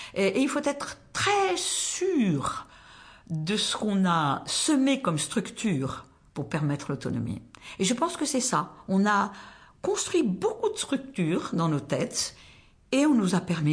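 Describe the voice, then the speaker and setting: Very slowly and somewhat breathily, a woman speaks at a medium pitch, with very wide pitch swings. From southwestern France, rural Tarn. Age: 70s. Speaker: retired volunteer, soup kitchen coordinator. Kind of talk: personal life story interview.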